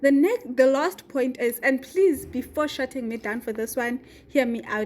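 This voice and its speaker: A high-pitched woman talks at a moderate pace with fairly even intonation. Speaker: YouTuber. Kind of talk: vlog advice talk.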